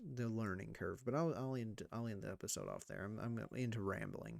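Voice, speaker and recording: Soft-spoken, a man talks at a fairly quick pace with fairly even intonation. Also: very clean recording, silent background. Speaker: gaming YouTuber. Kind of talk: gameplay commentary.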